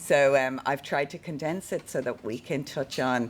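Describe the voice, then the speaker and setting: At a moderate pace, a woman with an Irish accent speaks in a very deep, low-pitched voice. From Ireland. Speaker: keynote speaker on neuro-inclusion. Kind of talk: presentation to a live audience. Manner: halting with many fillers and repetitions.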